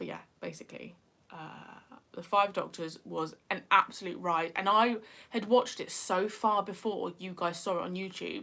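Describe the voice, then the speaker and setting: A woman with a medium pitch and a bright, sharp tone speaks at a moderate pace, using ordinary pitch variation, vocal fry and big swings in loudness. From northeast England. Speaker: YouTuber. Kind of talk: livestream chat. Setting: livestream.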